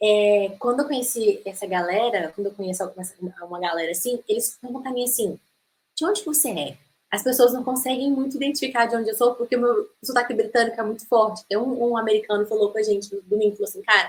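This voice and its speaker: Very fast and fairly high-pitched, a woman's voice rushes along. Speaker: English teacher. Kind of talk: online masterclass lecture. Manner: animated.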